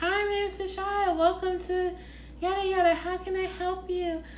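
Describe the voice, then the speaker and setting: Moderate speed and a put-on character voice, with clear noise in the background. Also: woman, extremely high pitch for a woman. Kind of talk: professional, polite. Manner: cheerful, formal.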